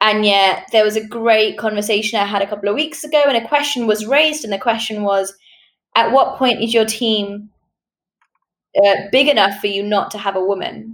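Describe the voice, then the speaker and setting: Here a woman speaks with a British accent at a fairly high pitch. Her pace is moderate. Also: ordinary pitch variation. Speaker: podcast host. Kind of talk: interview.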